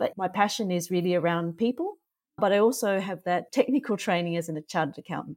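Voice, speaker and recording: In a very clean recording with a silent background and a dry, close sound with no echo, the speaker talks at a very fast pace in an Australian accent, with ordinary pitch variation. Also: woman, medium pitch for a woman. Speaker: author and non-executive director. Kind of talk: casual interview.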